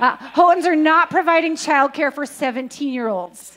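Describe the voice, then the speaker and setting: Her voice sits high in pitch as this woman talks. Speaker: church announcer. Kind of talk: church announcements. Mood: humorous, lively. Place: church. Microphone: handheld.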